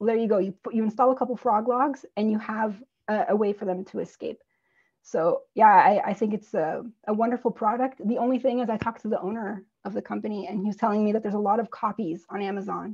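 A somewhat breathy woman with an American accent, fairly high in pitch, talking at a very fast pace with fairly even intonation. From US East Coast. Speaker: herpetologist. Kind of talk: interview.

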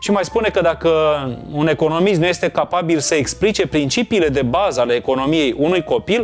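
With faint music in the background, a high-pitched man talks at a fairly quick pace, using ordinary pitch variation and very even loudness. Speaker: book show host. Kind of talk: book review commentary. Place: home room. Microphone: lapel.

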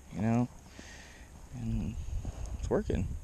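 The sound is dry with no echo, though there is noticeable background noise. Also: man. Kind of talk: casual vlog chat. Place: boat. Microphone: phone near.

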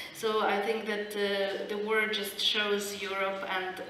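Against light background noise and audible room echo, a woman speaks at a very slow pace. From Ukraine. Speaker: historian. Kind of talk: panel discussion. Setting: stage with audience. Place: hall.

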